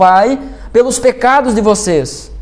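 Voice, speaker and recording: A man is speaking. His pitch is extremely high. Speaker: pastor. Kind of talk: sermon. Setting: church.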